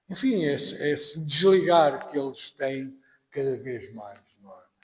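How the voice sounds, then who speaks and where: A man with a European Portuguese accent, speaking at a very slow pace. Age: 60s. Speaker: anthropology professor. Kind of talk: podcast interview. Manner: halting.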